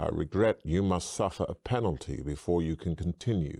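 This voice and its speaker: At a moderate pace, a man uses a put-on character voice pitched very deep and low. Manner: sneering.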